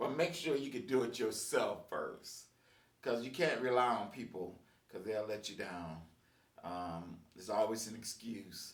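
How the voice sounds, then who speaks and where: A man at medium pitch with lively intonation and a fairly slow pace, amid audible room echo. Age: 60s. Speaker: musician and video blogger. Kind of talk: casual monologue. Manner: halting, many fillers.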